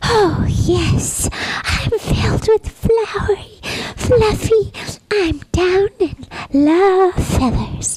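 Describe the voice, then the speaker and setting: Put-on character voice pitched extremely high. It moves at a very slow pace. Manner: soft, cutesy, dreamy.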